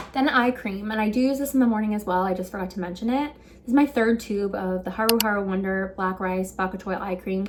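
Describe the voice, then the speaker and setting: Against noticeable background noise, a woman talks very fast with hardly any pauses, her medium pitch showing ordinary variation. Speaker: beauty vlogger. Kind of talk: casual tutorial.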